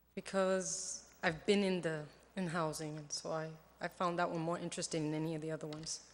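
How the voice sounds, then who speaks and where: Soft-spoken and fairly low-pitched, a woman talks at a fairly quick pace with monotone, flat intonation. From New York. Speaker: board appointee. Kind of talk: appointment interview.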